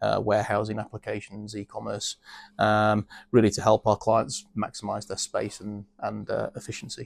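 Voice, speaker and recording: This man speaks with a British accent at a moderate pace. The sound is dry and close, with no echo. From UK. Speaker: business executive. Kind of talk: interview. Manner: hesitant, many fillers.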